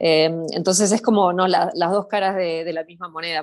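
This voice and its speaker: The sound is dry and close with no echo. A woman speaks at a moderate pace with a fairly low pitch and monotone, flat intonation. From Argentina, Buenos Aires city. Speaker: social media content creator, hiker. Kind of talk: casual interview. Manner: hesitant, many fillers and repetitions.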